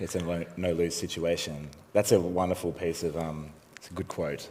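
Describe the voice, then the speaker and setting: A man's very deep voice moves at a moderate pace with monotone, flat intonation and big swings in loudness. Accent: Australian. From Australia. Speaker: interviewer. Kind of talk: onstage interview. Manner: mumbling.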